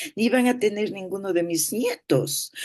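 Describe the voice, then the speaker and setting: Vocal fry runs through a woman's dark, mellow tone as she speaks at a moderate pace. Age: 80s+. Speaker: therapist. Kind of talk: talk.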